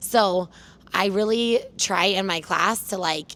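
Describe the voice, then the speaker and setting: A woman speaks loudly. Her pace is very slow. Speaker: fitness trainer. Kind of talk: casual interview. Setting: gym turf.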